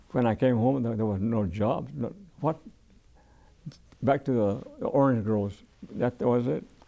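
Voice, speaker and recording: A man with an American accent talks at a moderate pace and medium pitch, his dark, mellow tone showing ordinary pitch variation. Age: 80s+. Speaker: war veteran. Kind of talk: oral history interview. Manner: halting, many repetitions and restarts.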